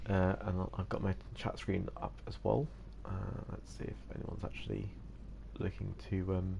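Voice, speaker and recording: Noticeable background noise sits behind a man speaking at a moderate pace. He leaves long, frequent pauses. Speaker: gamer streamer. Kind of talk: live gameplay commentary. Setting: at home, live stream. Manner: whispering, mildly sinister; hesitant, many fillers.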